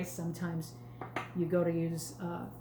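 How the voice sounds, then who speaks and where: A woman with a New York accent and a fairly low voice, amid noticeable background noise and audible room echo. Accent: New York Bronx. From New York, the Bronx. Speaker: sales consultant. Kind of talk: live cooking demo. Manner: slightly slurred pronunciation; casual, chatty.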